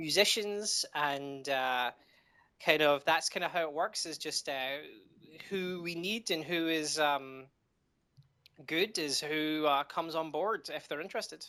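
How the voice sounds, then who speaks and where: A man with a Scottish accent and a bright, sharp tone, fairly high in pitch with ordinary pitch variation, at a fairly slow pace with long, frequent pauses, on a very clean recording with a silent background. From Scotland. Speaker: indie game developer. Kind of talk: interview. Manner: halting, many fillers.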